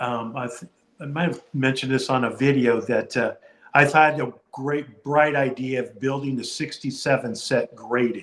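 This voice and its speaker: A man with an unremarkable speaking voice, medium pitch, fairly even intonation and a moderate pace. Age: 60s. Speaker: card collector and video creator.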